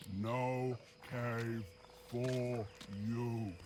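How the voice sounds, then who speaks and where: In a put-on character voice at a low-to-middle pitch, someone speaks over clear background noise. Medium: video game. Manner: blunt, simple.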